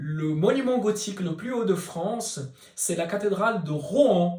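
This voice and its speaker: The speech comes in a Portuguese accent. Its pace is very slow. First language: Portuguese (speaking French). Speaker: scale model maker. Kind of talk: Q&A video, informal explanation.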